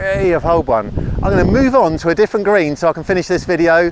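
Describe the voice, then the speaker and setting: The male voice moves at a fairly quick pace as noticeable background noise carries on behind it. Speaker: golf teaching professional. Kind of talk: tutorial. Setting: outdoors on a golf course. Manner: louder than normal; fast.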